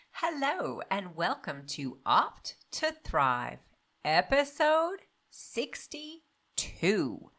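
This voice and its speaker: Music plays in the background. A woman speaks with very wide pitch swings. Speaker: podcast host, doctor. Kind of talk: podcast intro.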